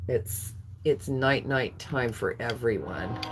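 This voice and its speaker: A woman with an American accent, very slow delivery and lively intonation, over noticeable background noise. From California. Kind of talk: live auction stream. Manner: slurring words.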